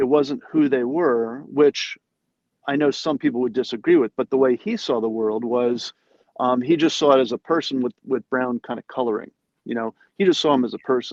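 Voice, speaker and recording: A man with an American accent speaks in a normal speaking voice at a moderate pace, with ordinary pitch variation. The sound is dry and close, with no echo. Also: medium pitch for a man. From New York City. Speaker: guest on a live stream. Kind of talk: casual conversation.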